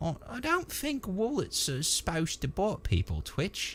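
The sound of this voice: A man puts on a character voice, high-pitched and fairly bright in tone. He speaks at a fairly slow pace with very wide pitch swings.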